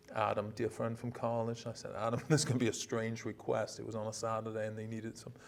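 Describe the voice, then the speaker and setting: A man's medium-pitched, monotone delivery at a very fast pace with hardly any pauses. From Denmark. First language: Danish. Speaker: university president. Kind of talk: casual interview. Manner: halting, many repetitions and fillers.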